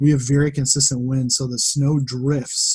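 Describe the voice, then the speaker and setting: Speaking fairly quickly with an American accent, a man has a fairly high, somewhat breathy voice with a dark, mellow tone and fairly even intonation, on a very clean recording with a silent background. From western Massachusetts. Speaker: data analyst and farmer. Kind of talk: casual interview chat.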